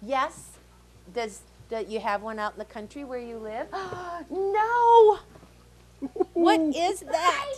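A woman speaks very slowly in a high pitch with very wide pitch swings. Her loudness swings widely, over light background noise. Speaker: library storyteller host. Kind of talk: puppet show dialogue for children. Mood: playful, warm.

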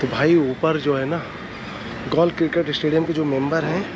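At a moderate pace, a man speaks with fairly high pitch and ordinary pitch variation over clear background noise.

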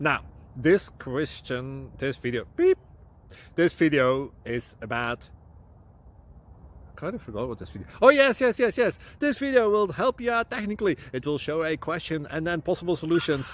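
A man talks at a moderate pace with very wide pitch swings, big swings in loudness and long, frequent pauses. The sound is dry with no echo. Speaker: channel host. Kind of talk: casual vlog chat. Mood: playful, joking. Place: open country. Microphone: phone near.

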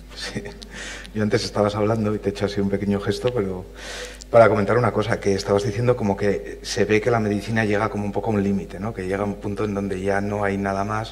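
In a fairly low, monotone voice with flat intonation, a man speaks at a very fast pace. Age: 40s. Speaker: physicist and panel moderator; panel moderator. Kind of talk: panel moderation. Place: hall.

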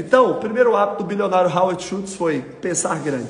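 With a Brazilian accent, the speaker sounds animated, using lively intonation over audible room echo. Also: man. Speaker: motivational YouTuber. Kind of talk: motivational talk. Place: home room.

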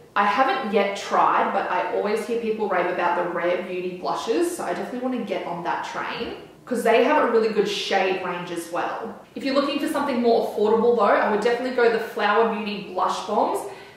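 In a room with strong echo, a woman speaks at a fairly quick pace with hardly any pauses and ordinary pitch variation. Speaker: beauty vlogger. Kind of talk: casual vlog chat. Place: home room.

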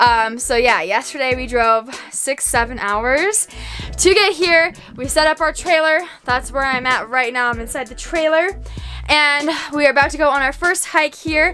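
A woman speaks in a raised, projected voice at a moderate pace. Faint music plays in the background. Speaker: travel vlogger. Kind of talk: casual vlog chat. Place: home room. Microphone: phone near.

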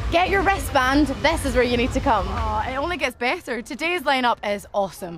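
With clear music in the background and a dry sound with no echo, a woman in a Scottish accent talks at a fairly quick pace in an upbeat tone, her high pitch swinging very widely and hardly any pauses between her words. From Glasgow, Scotland. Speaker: actress and presenter. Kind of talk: festival presenting to camera. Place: tent.

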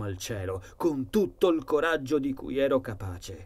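In a solemn, menacing tone, a man speaks at a fairly slow pace, his medium-pitched voice somewhat breathy. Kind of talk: horror audiobook narration. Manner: first-person dark storytelling, solemn and brooding, with an ominous, menacing tone.

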